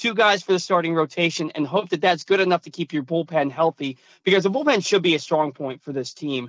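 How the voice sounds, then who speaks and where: A man's high voice with lively intonation at a fairly quick pace, dry and close with no echo, on a very clean recording with a silent background. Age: 30s. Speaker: sports radio host. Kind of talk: casual chat.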